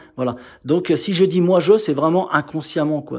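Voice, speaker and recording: Moderate in pace, a man is talking. Behind him the background is quiet. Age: 50s. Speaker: motorcycle mechanic YouTuber; motorcycle mechanic youtuber. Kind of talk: casual vlog and bike walkthrough. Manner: hesitant, many filler words. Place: workshop. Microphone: phone near.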